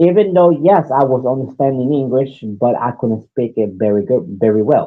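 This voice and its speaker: With lively intonation, a man talks at medium pitch and a moderate pace. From New York City (Bronx), Puerto Rican family. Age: 40s. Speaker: podcast host. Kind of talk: casual storytelling monologue. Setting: live stream. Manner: halting, many repeats and restarts.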